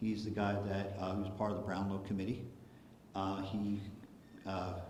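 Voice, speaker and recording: A man speaks at a moderate pace in a fairly low, monotone voice with flat intonation and very even loudness. Noticeable background noise and audible room echo are present. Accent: American. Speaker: political activist speaker. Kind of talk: public presentation. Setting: hall with live audience. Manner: casual, filler-heavy.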